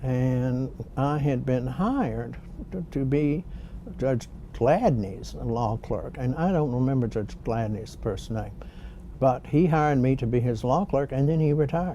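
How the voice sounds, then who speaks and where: Speaking in a Louisiana accent, a man uses a medium pitch, ordinary pitch variation, and a fairly slow pace against noticeable background noise. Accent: Southern US (Louisiana). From US South (Shreveport, Louisiana). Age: 70s. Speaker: retired bankruptcy judge. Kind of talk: oral history interview. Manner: measured, with frequent fillers.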